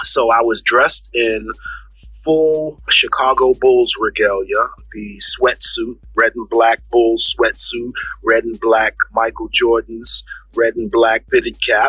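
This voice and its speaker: A very slow-speaking man in a New York accent, dry and close with no echo, noticeable background noise behind him. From Bronx, New York. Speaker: rapper. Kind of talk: storytelling interview.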